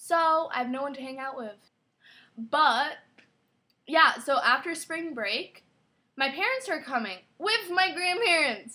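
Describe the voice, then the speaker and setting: A woman's raised, projected voice, high in pitch with very wide pitch swings and big swings in loudness, fairly slow with long, frequent pauses. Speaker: vlogger. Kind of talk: casual vlog. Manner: chatty, filler-heavy.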